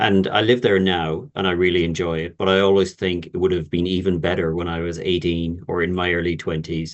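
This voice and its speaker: With an Irish accent, a man speaks in a very deep, low voice, monotone and flat, with hardly any pauses. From Ireland. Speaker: university representative. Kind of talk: webinar Q&A.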